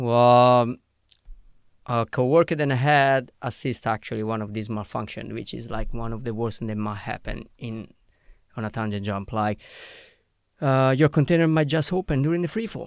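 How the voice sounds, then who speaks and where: A man with an Italian accent speaks at a medium pitch and a moderate pace, with ordinary pitch variation. The recording is very clean, with a silent background. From Italy. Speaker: skydiving instructor. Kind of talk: casual chat. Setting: studio. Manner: halting.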